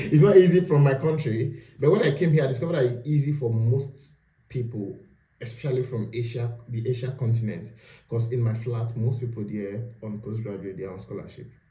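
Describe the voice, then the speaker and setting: A man with a medium pitch and ordinary pitch variation speaks at a fairly quick pace in a somewhat breathy, dark, mellow tone. His loudness swings widely, and the room echo is audible. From Nigeria. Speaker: postgraduate student. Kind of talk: casual interview.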